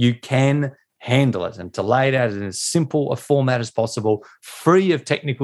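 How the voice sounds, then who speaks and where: A man with an Australian accent. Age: 40s. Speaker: pastor and author. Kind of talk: interview.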